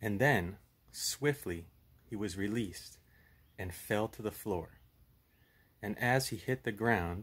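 A man's fairly low pitch at a very slow pace, with ordinary pitch variation. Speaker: storyteller with puppet. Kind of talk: storytelling. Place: home room. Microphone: phone near.

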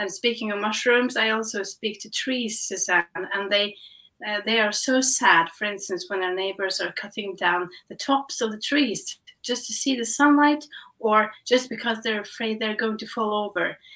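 In a Norwegian accent, a woman with a fairly high pitch speaks at a moderate pace with ordinary pitch variation over a quiet background. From Norway. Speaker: guest. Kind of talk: casual chat. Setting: video call. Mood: calm, reflective. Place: home room.

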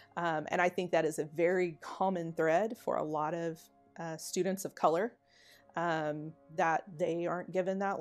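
With faint music in the background, the speaker goes at a moderate pace with fairly even intonation. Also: woman. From Oklahoma, USA. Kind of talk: documentary interview answer. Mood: earnest, reflective. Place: home room. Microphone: lapel.

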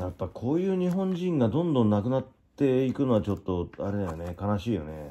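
Pitch swings very widely as the speech runs at a fairly quick pace. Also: man, medium pitch for a man. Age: 50s. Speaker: YouTuber. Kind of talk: casual chat.

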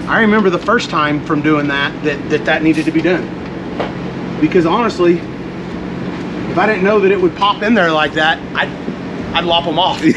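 Background noise clearly audible behind a man talking at a medium pace. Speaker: race car driver and mechanic. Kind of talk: casual chat while working on car. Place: street. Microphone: phone near.

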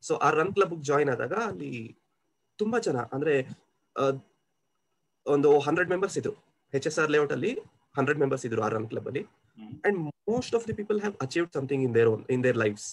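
A man's fairly high voice with very wide pitch swings over light background noise. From Kolar, Karnataka, India. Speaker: senior software engineer. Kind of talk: interview answer. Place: home room. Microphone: video call.

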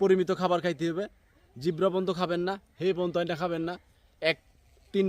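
A man with a high voice keeps his intonation fairly even, recorded with a dry, close sound and no echo. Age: 30s. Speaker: YouTuber. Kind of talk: casual advice talk to camera.

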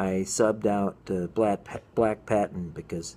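Over light background noise, a man speaks with a very deep, low pitch. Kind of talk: casual vlog chat. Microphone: phone near.

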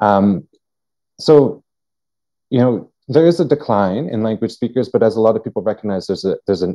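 Against a quiet background, a man with a dark, mellow tone speaks at a fairly quick pace. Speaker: workshop co-presenter, language researcher. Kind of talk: online workshop facilitation. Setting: video call. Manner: halting, many fillers and repetitions. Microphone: video call.

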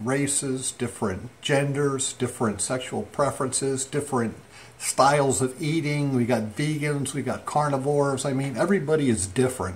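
At a moderate pace, a man speaks somewhat breathily with ordinary pitch variation over light background noise. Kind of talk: casual vlog chat. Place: home room. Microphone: phone near.

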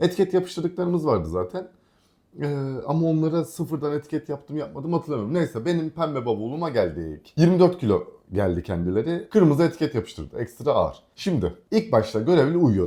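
A man with a fairly high pitch and a dark, mellow tone speaks at a fairly quick pace, his pitch swinging very widely. The recording is very clean, with a silent background. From Aegean Turkey, Kuşadası. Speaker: vlogger. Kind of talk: casual chat.

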